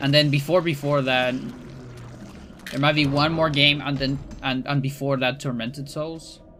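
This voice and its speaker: Monotone, flat delivery broken by long, frequent pauses, with music in the background. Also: man, fairly high pitch for a man, moderate pace. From Chile. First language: Spanish. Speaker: speedrunner and streamer. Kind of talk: casual livestream chat. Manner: halting, many fillers and restarts.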